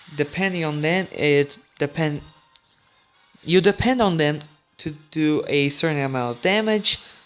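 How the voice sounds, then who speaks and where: Over music in the background, a man with a fairly high pitch talks at a fairly slow pace, leaving long, frequent pauses. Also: ordinary pitch variation. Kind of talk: casual gaming commentary. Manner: stuttering.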